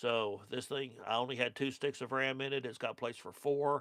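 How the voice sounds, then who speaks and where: A man speaks with an Oklahoma accent at a medium pitch. His pace is fairly slow and his intonation monotone and flat. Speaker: car restoration youtuber. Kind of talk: live stream chat reading comments. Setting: studio. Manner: casual, hesitant with fillers.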